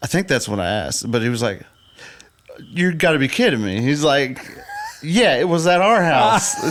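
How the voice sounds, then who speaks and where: The speaker has a Southern US accent and very wide pitch swings. Long, frequent pauses break up the speech over noticeable background noise. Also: man, fairly high pitch for a man, moderate pace. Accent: southern twang. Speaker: podcast co-host, photographer. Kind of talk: casual chat.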